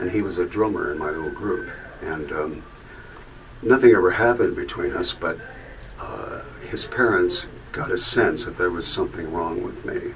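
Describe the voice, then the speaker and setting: A man talks at a moderate pace with long, frequent pauses, amid noticeable background noise and audible room echo. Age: 70s. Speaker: musician sharing life story. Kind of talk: testimony. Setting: video booth. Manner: halting, many fillers.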